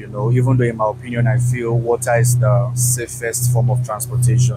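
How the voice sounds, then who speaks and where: Over loud music in the background, a man talks at a moderate pace in a dry sound with no echo. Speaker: travel vlogger. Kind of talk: casual vlog chat. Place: boat. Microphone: lapel.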